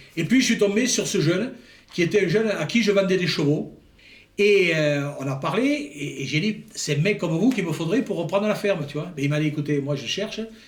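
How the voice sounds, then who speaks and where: Amid audible room echo, a man with a high pitch talks at a fairly quick pace with lively intonation. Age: 70s. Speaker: retiring farmer and horse breeder. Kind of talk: interview testimony.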